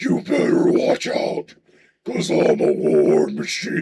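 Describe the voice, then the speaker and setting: A man uses a raspy, put-on character voice at a fairly slow pace, with a slight echo. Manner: aggressive.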